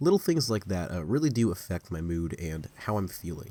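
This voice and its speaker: Very deep and low, a man's voice moves at a fairly quick pace. The recording is very clean, with a silent background. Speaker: video creator. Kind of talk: casual vlog monologue. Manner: forced deep.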